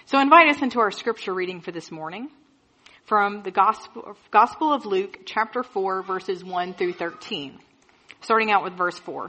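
Speaking at a moderate pace, a woman with a plain, everyday voice uses lively intonation at a medium pitch, and her loudness swings widely. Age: 30s. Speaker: pastor. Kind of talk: sermon.

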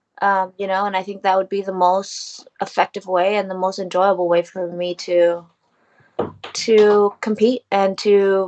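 With an American accent, a woman uses a normal speaking voice at medium pitch and a fairly slow pace. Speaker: professional MMA fighter. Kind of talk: interview.

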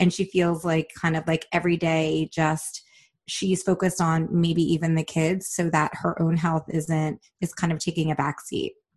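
A woman at a fairly low pitch talks at a moderate pace, somewhat breathy, with monotone, flat intonation. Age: 40s. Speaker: podcaster in coaching session. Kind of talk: casual chat. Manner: halting.

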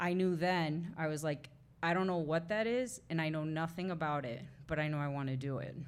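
With audible room echo, a woman speaks at a fairly quick pace in a very deep, low pitch. Her pitch varies in an ordinary way. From Mexican-American family, farming community. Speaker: playwright. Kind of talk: live interview before audience. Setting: bookshop with live audience.

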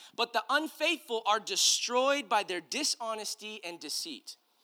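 Raised and projected, a man's extremely high voice carries a bright, sharp tone and lively intonation at a moderate pace, with an American accent, on a very clean recording with a silent background. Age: 30s. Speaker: pastor. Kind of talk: sermon. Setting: church with congregation. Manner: animated.

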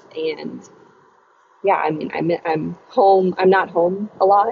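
A woman with an American accent speaks at a fairly slow pace and fairly low pitch, with fairly even intonation and noticeable background noise. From Virginia (Chesapeake). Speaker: professional golfer. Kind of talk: interview. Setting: phone call from a car while driving.

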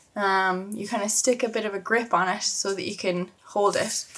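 Here a woman speaks with a slight Irish accent. Her voice sits at medium pitch with fairly even intonation. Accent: mild Irish. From Ireland. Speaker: travel podcast host. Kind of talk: casual solo podcast monologue. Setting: home bedroom, video recording. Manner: chatty, laughs often.

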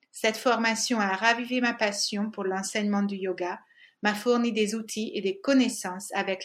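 A woman of medium pitch speaks with fairly even intonation on a very clean recording with a silent background. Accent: Hungarian. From Hungary. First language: Hungarian (speaking French). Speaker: yoga teacher and podcast co-host. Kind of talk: scripted introduction.

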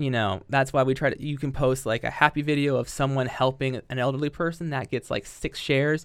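A man with a Midwestern American accent speaks at a fairly quick pace, medium in pitch and fairly even in intonation, on a very clean recording with a silent background. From southwest Ohio (Yellow Springs). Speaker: elementary school educator. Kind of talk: casual chat.

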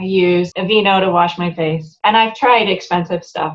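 Using a normal speaking voice, a woman talks at a medium pitch and varies it in an ordinary way. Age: 50s. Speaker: voice and life coach. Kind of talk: casual interview chat.

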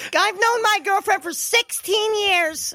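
This put-on character voice sits at an extremely high pitch and moves at a fairly slow pace. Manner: nerdy.

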